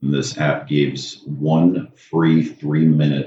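Speaking with an American accent, a man has a very deep, low pitch. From Maryland, US. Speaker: anesthesia practice owner and podcaster. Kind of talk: casual interview chat.

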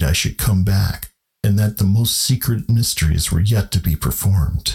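At a moderate pace, a man with a fairly low pitch and ordinary pitch variation talks in an unremarkable speaking voice. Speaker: podcast host and narrator. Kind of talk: literary horror audiobook narration.

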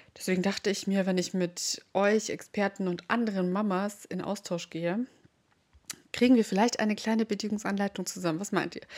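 A woman speaks in an ordinary speaking voice at a medium pitch. Her pace is fairly quick and her intonation fairly even. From Bavaria, rural area near Munich. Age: 20s. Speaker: podcast host, mom influencer. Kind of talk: casual monologue.

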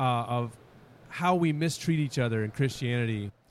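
A man with a normal speaking voice talks at a fairly quick pace, his pitch varying in an ordinary way. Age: 50s. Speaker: youth pastor. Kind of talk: casual chat. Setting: convention with crowd nearby.

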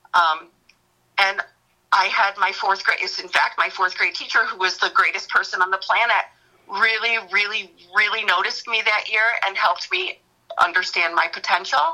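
At a moderate pace and with fairly even intonation comes a plain, everyday voice. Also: woman, medium pitch for a woman. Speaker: elementary school teacher. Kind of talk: casual chat.

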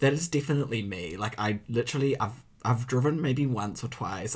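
A somewhat breathy man with a New Zealand accent talks at a moderate pace with ordinary pitch variation. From provincial New Zealand. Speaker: podcast co-host. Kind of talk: casual chat.

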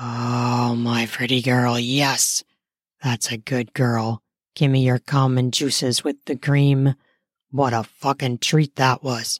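In a put-on character voice, a woman speaks slowly at an extremely low pitch with little pitch movement, sounding raspy and breathy in a very clean, dry, close recording with no echo and a silent background.

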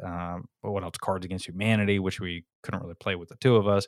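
Over a silent background in a very clean recording, a man speaks in a fairly low, monotone, flat voice. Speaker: small business co-founder. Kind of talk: casual interview. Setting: podcast guest interview. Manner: loud.

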